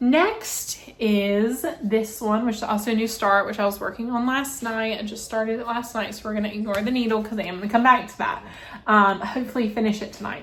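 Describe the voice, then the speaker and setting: A woman with a fairly high voice talks at a fairly quick pace in a Southern US accent, with fairly even intonation and hardly any pauses. Room echo is audible, and background noise is noticeable. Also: big swings in loudness. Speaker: cross-stitch vlogger. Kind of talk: casual show-and-tell vlog. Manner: fast.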